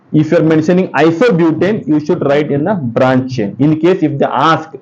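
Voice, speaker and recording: A man's fairly high-pitched voice with ordinary pitch variation, in a room with audible echo. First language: Kannada. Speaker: chemistry teacher. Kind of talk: exam-prep lecture. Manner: fast; halting, with many fillers.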